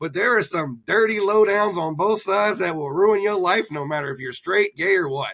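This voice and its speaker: A man's bright, sharp tone comes at a fairly quick pace in a dry, close sound with no echo. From North Alabama, Huntsville. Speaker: politician and business owner. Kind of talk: casual chat.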